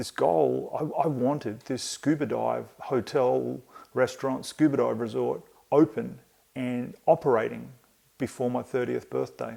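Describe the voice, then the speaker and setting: Speaking with an Australian accent, a man keeps a fairly slow pace. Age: 50s. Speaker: podcast host. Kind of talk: solo podcast monologue. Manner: halting, with many fillers.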